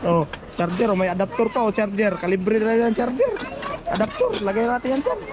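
A man's high voice with ordinary pitch variation and very even loudness, over noticeable background noise. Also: fairly quick pace. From Philippines, Quezon province. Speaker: vlogger, overseas worker. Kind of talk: casual vlog narration. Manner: animated.

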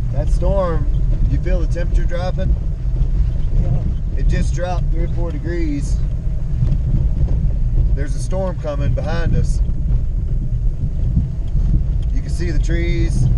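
Fairly slow speech with long, frequent pauses, dry with no echo, over loud background noise. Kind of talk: casual vlog chat. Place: car. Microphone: camera far.

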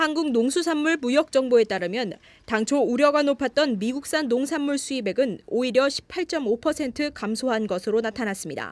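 Very clean recording with a silent background. A woman speaks at a high pitch with lively intonation. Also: moderate pace. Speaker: news reporter. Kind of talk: news report.

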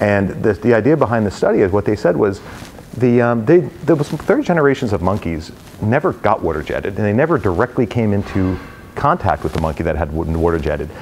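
A man with an American accent, fairly low pitch, very wide pitch swings and a fairly quick pace, over light background noise. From New Jersey, US. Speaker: real estate company president. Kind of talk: talk with audience Q&A. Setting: stage with audience. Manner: joking, casual. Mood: relaxed, anecdotal. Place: meeting room.

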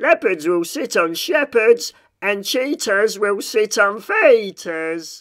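High-pitched and fairly bright in tone, a man performs a put-on character voice slowly with big pitch swings.

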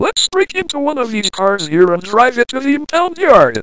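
A put-on character voice, high-pitched, delivered at a moderate pace with very wide pitch swings. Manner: bossy, scornful.

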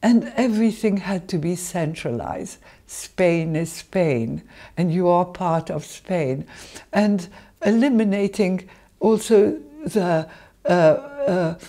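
A woman talks at a very slow pace in a dark, mellow tone over a quiet background. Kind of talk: interview answer. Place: kitchen.

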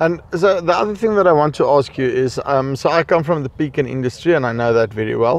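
A man speaks very fast in an Afrikaans South African accent, his pitch fairly high and his intonation lively. His loudness stays very even, with hardly any pauses. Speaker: farming video host and interviewer. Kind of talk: on-site interview. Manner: hesitant, many fillers.

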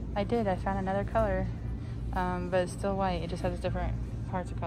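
A woman speaks at a very fast pace with music in the background. The sound is dry, with no echo. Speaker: shopping vlogger. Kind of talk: casual vlog chat. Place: shop. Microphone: phone near.

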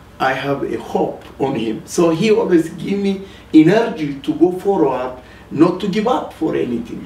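A man with an Ethiopian accent talks in a high voice with lively intonation. The room echo is audible, and there is light background noise. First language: Amharic. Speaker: rabbi and ministry leader. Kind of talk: testimony. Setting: TV studio. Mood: earnest, emotional testimony. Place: studio.

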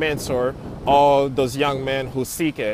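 A man with an American accent is heard against noticeable background noise, in a dry recording with no echo. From Florida, Haitian family. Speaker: architect. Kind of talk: personal testimony. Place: open country. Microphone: earbuds.

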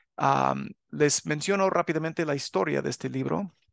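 This man has an ordinary speaking voice with a fairly high pitch. The sound is dry and close with no echo, and the background is quiet. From US, Los Angeles area (California). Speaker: religious teacher and author. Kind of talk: religious channel talk to viewers. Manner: casual with filler sounds.

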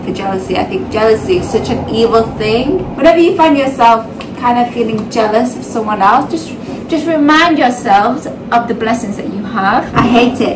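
Noticeable background noise sits under a woman speaking at a moderate pace with ordinary pitch variation. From UK. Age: 30s. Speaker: vlogger, mother. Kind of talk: casual talk to camera. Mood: earnest, reflective. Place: kitchen. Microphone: phone near.

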